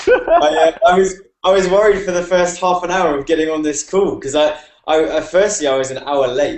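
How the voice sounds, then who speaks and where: With a British accent, the speaker moves along at a fairly quick pace. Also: man. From UK. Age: 20s. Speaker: online marketer. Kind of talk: casual chat. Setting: video call. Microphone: laptop mic.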